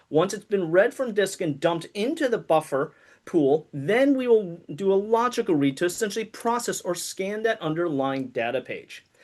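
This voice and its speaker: Hardly any pauses over a quiet background. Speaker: conference speaker on database performance. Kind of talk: technical presentation. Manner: fast.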